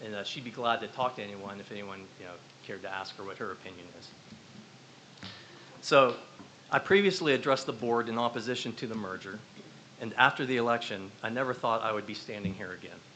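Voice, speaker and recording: A man with an American accent speaks very fast but with long, frequent pauses, his tone bright and sharp. His pitch is medium with ordinary variation, and his loudness swings widely. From northwestern Pennsylvania. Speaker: parent and community member. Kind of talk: public comment at a school board meeting. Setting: school board meeting room.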